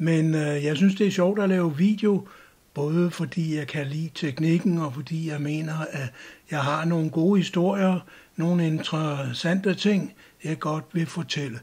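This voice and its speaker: A man speaks at a fairly slow pace in a fairly high pitch with ordinary pitch variation. The recording is very clean, with a silent background. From Denmark. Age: 60s. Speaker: YouTuber, retired cultural sociologist. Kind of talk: channel introduction monologue.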